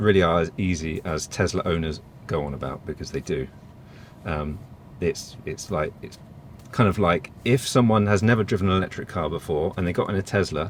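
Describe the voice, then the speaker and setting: Very deep and low, a man's voice with an English accent moves at a fairly quick pace with ordinary pitch variation. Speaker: EV reviewer. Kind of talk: casual chat.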